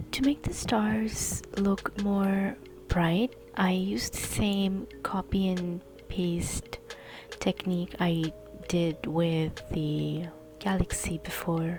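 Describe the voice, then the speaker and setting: Music plays behind the voice. Delivery is at a very slow pace. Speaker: digital artist. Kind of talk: tutorial voice-over.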